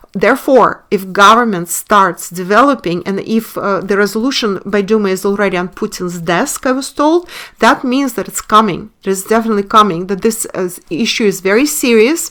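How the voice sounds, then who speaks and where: With a Russian accent and a bright, sharp tone, a woman talks at a moderate pace with hardly any pauses. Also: medium pitch for a woman, lively intonation. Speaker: online commentator and webinar teacher. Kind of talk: video monologue. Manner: halting, many fillers.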